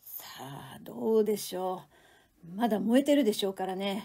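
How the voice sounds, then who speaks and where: A woman's dark, mellow voice in a dramatic, tearful tone at a moderate pace. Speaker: reading instructor, reader of literature. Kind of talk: literary reading aloud, audiobook style. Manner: dramatic dialogue reading, tearful voice for female character, male character voice.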